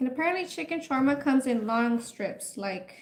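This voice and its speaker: Lively intonation runs through this woman's speech. Her voice is high-pitched. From Mexico. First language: Spanish. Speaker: food livestreamer. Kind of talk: casual livestream chat while cooking. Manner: chatty.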